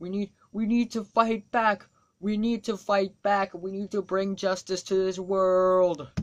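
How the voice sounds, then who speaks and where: A put-on character voice at a middle pitch and a fairly slow pace. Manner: flat, monotone, wooden acting.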